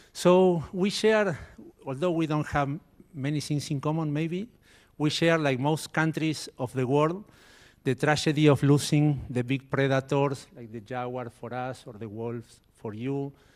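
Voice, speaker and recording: Fairly slow speech in an Argentine accent, with ordinary pitch variation. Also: man, fairly high pitch for a man. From Argentina. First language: Spanish. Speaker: biologist. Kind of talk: conference talk.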